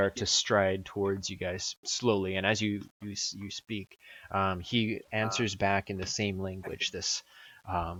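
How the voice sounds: The voice heard is a natural reading voice.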